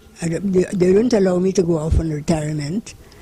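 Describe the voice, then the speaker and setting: Pitch variation is ordinary. Noticeable background noise can be heard. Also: woman. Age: 80s+. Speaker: retired home economics teacher. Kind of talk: interview answer.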